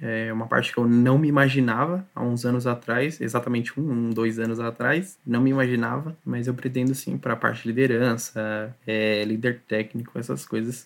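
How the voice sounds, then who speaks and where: In a normal speaking voice at medium pitch, a man keeps fairly even intonation and a moderate pace with hardly any pauses. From Brazil, São Paulo area (Taboão da Serra). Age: 20s. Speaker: software quality assurance tester. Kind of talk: casual interview chat.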